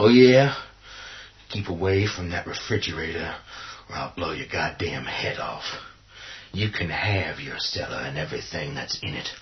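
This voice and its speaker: Using a put-on character voice, a man speaks at a fairly low pitch with long, frequent pauses. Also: moderate pace. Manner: aggressive, profane.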